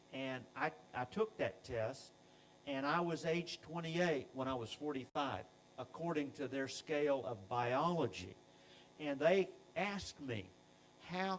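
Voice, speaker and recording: An ordinary speaking voice, fairly slow in pace, with lively intonation. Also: man. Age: 60s. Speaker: company scientist presenting products. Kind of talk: product presentation. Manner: frequent filler uh.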